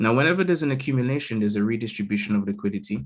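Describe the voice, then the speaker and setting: A man speaks with a London accent. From London, England. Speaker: crypto market analyst. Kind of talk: live chart analysis stream. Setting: live stream over Zoom. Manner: casual, frequent fillers like okay and all right.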